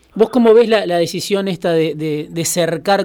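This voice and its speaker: At a moderate pace, a man speaks in a dark, mellow tone. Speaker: radio host. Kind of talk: interview.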